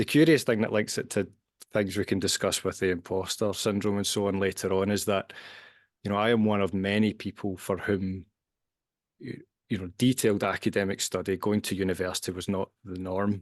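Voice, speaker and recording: In a Glasgow accent, the speaker talks at a fairly quick pace with fairly even intonation against a quiet background. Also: man, fairly low pitch for a man. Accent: Scottish (Glasgow). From Scotland, Glasgow. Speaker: scientist and author. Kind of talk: podcast interview. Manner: hesitant, repeats words.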